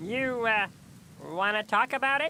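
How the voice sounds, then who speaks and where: A cartoonish character voice at a moderate pace, on a very clean recording with a silent background. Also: man. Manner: friendly, concerned.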